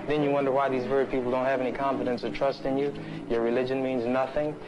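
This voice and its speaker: This is a man talking. Background noise is clearly audible. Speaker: activist in debate. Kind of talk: heated argument. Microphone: old recording.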